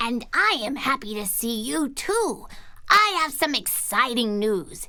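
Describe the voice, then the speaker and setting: A put-on character voice, female-sounding and high-pitched for a woman, at a fairly slow pace over light background noise. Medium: read story. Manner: warm, encouraging.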